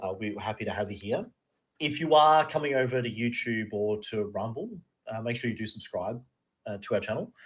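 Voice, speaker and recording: This man has an Australian accent and a medium pitch. He talks at a fairly quick pace with ordinary pitch variation. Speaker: podcast co-host. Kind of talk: casual chat.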